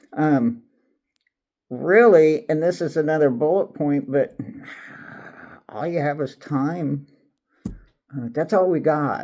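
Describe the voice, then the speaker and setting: Dark and mellow in tone, a man with a fairly high pitch and ordinary pitch variation speaks at a very slow pace with long, frequent pauses. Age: 60s. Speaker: retiree YouTuber. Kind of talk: casual unscripted monologue. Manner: halting, many fillers.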